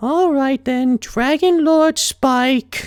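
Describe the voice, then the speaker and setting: The voice sounds female and is a put-on character voice. It is pitched high for a woman. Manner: sarcastic, eye-rolling.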